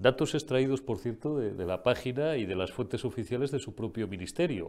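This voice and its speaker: A man at a medium pitch with lively intonation, in a very clean recording with a silent background. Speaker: political commentary show host. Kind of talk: political commentary. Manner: animated.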